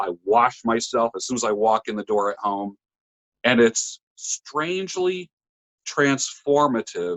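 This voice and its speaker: A man with an unremarkable speaking voice and a medium pitch talks at a fairly slow pace with lively intonation. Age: 60s. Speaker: barber and public speaker. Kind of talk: casual interview chat.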